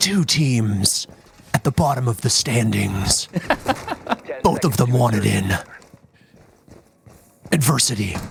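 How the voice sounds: Putting on a dramatic character voice at a medium pitch, a man speaks at a fairly slow pace with long, frequent pauses over music in the background.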